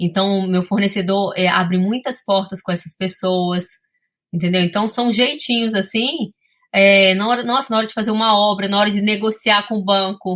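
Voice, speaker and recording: A woman's medium-pitched voice with a bright, sharp tone, fairly even intonation and a moderate pace, in a very clean recording with a silent background. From Brazil, Espírito Santo. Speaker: sommelier and business owner. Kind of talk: interview.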